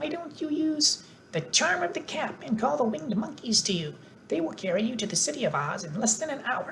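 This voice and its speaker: A female-sounding, put-on character voice, squeaky and fairly high-pitched, moves along at a fairly quick pace with very wide pitch swings. Clear background noise sits behind it. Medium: read story.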